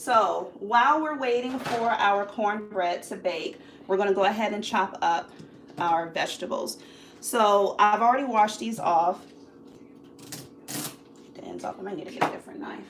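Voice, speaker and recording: At a moderate pace, a woman talks with ordinary pitch variation. Her loudness swings widely. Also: medium pitch for a woman. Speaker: cooking channel host. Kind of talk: live cooking tutorial.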